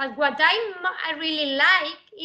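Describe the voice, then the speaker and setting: A woman speaks in an Andalusian accent at a very slow pace. Her intonation is lively. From southern Spain (Andalusia). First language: Spanish. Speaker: mathematics professor. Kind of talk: lecture. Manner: halting, many fillers.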